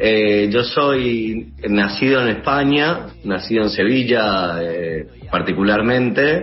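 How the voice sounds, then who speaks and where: A man with a fairly low pitch speaks at a very slow pace with lively intonation and hardly any pauses. Noticeable background noise and audible room echo run through the recording. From Seville, Spain; moved to Uruguay at 16. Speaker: musician. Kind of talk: interview. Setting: video call.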